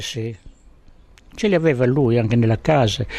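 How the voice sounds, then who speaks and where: A man's medium-pitched voice with ordinary pitch variation, over noticeable background noise. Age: 80s+. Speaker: fisherman. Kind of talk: interview answer.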